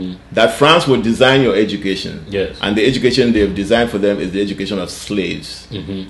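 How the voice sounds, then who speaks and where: Talking at a very fast pace with hardly any pauses, a man with a fairly low pitch and ordinary pitch variation is heard with audible room echo. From Cameroon (Bafut, Northwest). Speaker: TV show host. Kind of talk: interview conversation. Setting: studio interview. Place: office.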